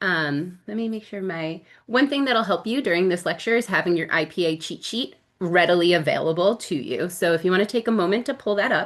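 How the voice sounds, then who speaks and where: A woman speaks at a fairly quick pace with a medium pitch. Her intonation is lively. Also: quiet background. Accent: American. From New Jersey, US. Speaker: speech-language pathology instructor. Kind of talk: recorded lecture. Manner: casual, many filler ums.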